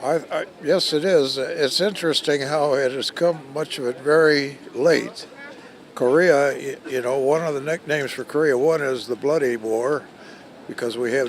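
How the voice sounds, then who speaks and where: Fairly slow speech with ordinary pitch variation comes through noticeable background noise. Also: man. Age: 80s+. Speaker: war veteran. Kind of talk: news interview. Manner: halting.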